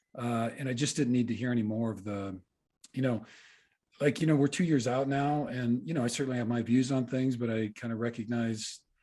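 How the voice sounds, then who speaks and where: In a very clean recording with a silent background, a man speaks at a medium pitch with fairly even intonation and a dark, mellow tone. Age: 60s. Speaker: podcast co-host and mindset coach. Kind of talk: podcast interview. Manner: halting.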